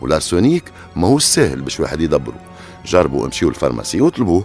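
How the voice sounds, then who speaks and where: Against music in the background, a man speaks at a fairly quick pace with very wide pitch swings. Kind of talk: true crime storytelling narration. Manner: casual, conversational.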